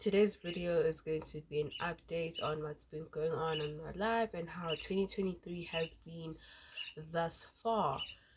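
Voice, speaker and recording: The voice is somewhat breathy. The pace is fairly slow. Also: woman. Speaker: lifestyle vlogger. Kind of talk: casual vlog update.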